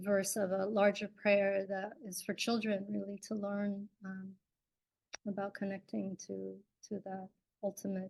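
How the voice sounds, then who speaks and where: A woman with an American accent speaks at a fairly slow pace and a medium pitch. Her voice is somewhat breathy, with monotone, flat intonation. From US, immigrant from Kerala, India at age 4. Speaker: dancer, writer and yoga teacher. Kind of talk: online talk. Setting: live stream. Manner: many fillers (um, uh).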